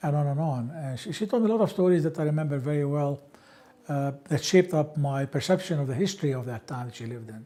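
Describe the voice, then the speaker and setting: Talking very fast, a man with an Arabic accent has a fairly high pitch, ordinary pitch variation and a dark, mellow tone. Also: big swings in loudness. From Palestine, Ramallah. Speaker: interviewee sharing life history. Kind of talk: oral history interview.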